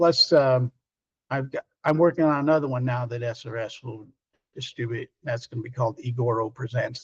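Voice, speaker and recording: A somewhat breathy male voice at medium pitch with ordinary pitch variation, dry and close with no echo. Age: 60s. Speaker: film director. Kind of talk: interview. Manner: halting.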